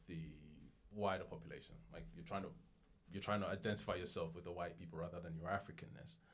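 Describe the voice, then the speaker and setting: Speaking with an English accent, a man shows lively intonation and vocal fry amid audible room echo. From London, England. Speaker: podcaster. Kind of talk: podcast interview.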